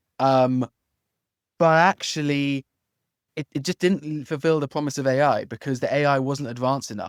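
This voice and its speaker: A fairly quick voice with an English accent, dry and close with no echo, on a very clean recording with a silent background. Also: man. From London, England. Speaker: legal tech founder, former antitrust lawyer. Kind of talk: interview podcast.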